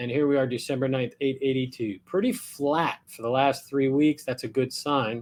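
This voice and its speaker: A man's fairly high voice at a moderate pace, an ordinary speaking voice with an American accent. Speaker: real estate agent. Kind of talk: market update vlog. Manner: casual.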